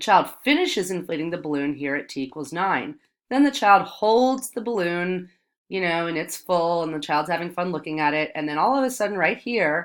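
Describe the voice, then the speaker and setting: With a plain, everyday voice, a woman speaks at a fairly low pitch and a fairly quick pace, her intonation lively, on a very clean recording with a silent background. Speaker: math teacher. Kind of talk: tutorial.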